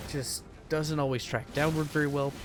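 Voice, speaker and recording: A man's voice sits fairly high while music runs underneath. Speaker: gaming YouTuber. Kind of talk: gameplay commentary. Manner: slurs words when speaking quietly; frequent fillers like right and uh.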